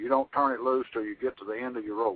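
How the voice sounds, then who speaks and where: A man at a medium pitch and a fairly quick pace. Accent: Texan. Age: 70s. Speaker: retired Texas Ranger and author. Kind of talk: interview. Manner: halting.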